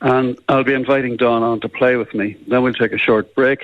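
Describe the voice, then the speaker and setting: A man speaks fairly quickly in a Northern Irish accent. Noticeable background noise runs underneath. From Northern Ireland, Belfast. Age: 80s+. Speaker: musician. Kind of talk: radio interview.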